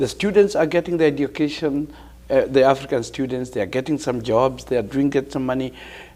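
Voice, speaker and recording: With a Kenyan accent and a dark, mellow tone, a man talks at a fairly quick pace and a fairly high pitch. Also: ordinary pitch variation. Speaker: professor and community leader. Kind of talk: TV interview.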